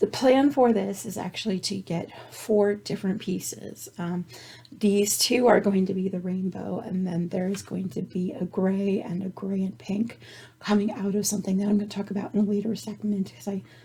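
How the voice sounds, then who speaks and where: Over noticeable background noise, a woman speaks at medium pitch and a moderate pace with fairly even intonation. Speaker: knitting and crochet podcaster. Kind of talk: casual show-and-tell. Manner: chatty, with false starts.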